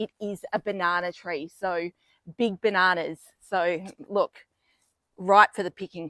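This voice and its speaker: A woman with an Australian accent, bright and sharp in tone, at a fairly slow pace with fairly even intonation and long, frequent pauses, in a dry, close sound with no echo. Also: medium pitch for a woman, big swings in loudness. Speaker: vlogger. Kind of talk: casual video tour. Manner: soft-spoken.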